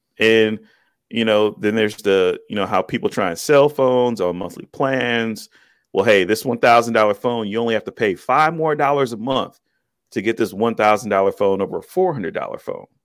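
An ordinary speaking voice, this man's medium-pitched delivery has ordinary pitch variation and a fairly quick pace, with an American accent. The recording is very clean, with a silent background. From US Midwest, Cleveland, Ohio. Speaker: tech YouTuber, Navy veteran. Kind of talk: interview.

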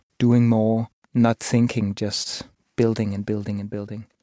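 A man's medium-pitched, dark, mellow voice in a Danish accent, monotone and fairly slow, recorded dry and close with no echo on a very clean, silent background. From Copenhagen, Denmark. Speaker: musician. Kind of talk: interview.

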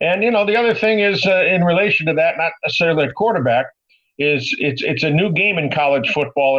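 A man with an ordinary speaking voice, lively intonation and a moderate pace. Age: 60s. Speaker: sports broadcaster. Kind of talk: casual chat.

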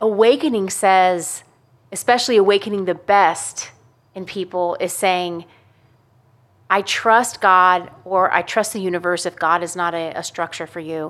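On a very clean recording with a silent background, a woman uses a normal speaking voice at a medium pitch and fairly slow pace, with fairly even intonation but big swings in loudness. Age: 40s. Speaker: podcast host. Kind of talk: casual chat.

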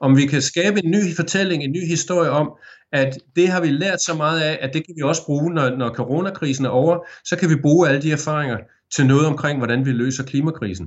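In a normal speaking voice, a man talks at a fairly high pitch, his pitch varying in an ordinary way. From Denmark, Aarhus. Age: 50s. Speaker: journalist, former radio presenter. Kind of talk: interview.

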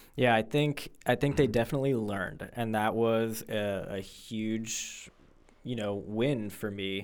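A man with an American accent has a plain, everyday voice at a medium pitch. He speaks at a fairly slow pace with fairly even intonation. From Florida, Fort Lauderdale. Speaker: high school English teacher. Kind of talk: casual interview. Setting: studio.

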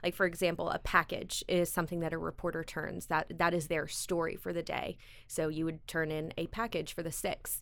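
Speaking at a fairly quick pace with hardly any pauses, a woman with an American accent comes through on a very clean recording with a silent background. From US South, South Carolina (Greenville). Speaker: TV lifestyle show host and producer. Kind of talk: interview.

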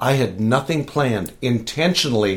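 Using an ordinary speaking voice, a man talks at a moderate pace with a medium pitch. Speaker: church small-group leader. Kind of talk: casual interview chat.

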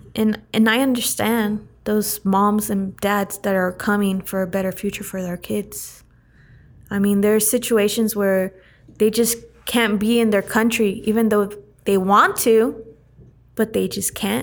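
Monotone and flat in intonation, a woman talks at a fairly slow pace and a medium pitch. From Central California (Turlock). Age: 20s. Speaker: entrepreneur. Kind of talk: casual interview.

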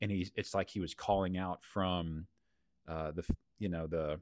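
In a Texan accent, a man with a very deep, low pitch talks at a moderate pace in a flat monotone, on a very clean recording with a silent background and a dry, close sound with no echo. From Texas. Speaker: church leader, podcast host. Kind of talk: casual chat.

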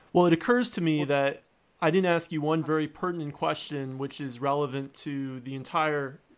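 Speaking at a moderate pace with ordinary pitch variation, a man with an ordinary speaking voice and fairly high pitch is heard on a very clean recording with a silent background. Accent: American. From United States. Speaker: podcast host and iOS consultant. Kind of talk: interview.

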